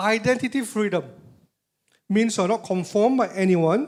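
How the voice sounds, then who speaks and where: Recorded very cleanly against a silent background, a man with a high pitch speaks at a fairly slow pace with lively intonation. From Malaysia. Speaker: motivational speaker. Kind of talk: motivational talk. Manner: animated.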